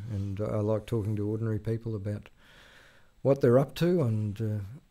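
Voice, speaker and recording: Here is a man with an Australian accent, a dark, mellow tone and fairly low pitch. His intonation is fairly even, and the recording is very clean with a silent background. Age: 60s. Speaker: veteran journalist. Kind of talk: interview conversation. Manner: halting, many fillers.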